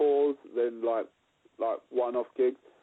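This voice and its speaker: A man talks in an East London accent. His pace is fairly slow. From East London, Dagenham. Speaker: rock musician. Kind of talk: interview. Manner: halting, many repeated words.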